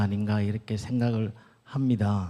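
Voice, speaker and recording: Recorded very cleanly against a silent background, a man talks at a fairly slow pace in a dark, mellow tone. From Gyeongsang region, Korea. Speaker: doctor and church elder giving a lecture. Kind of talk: lecture. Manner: halting.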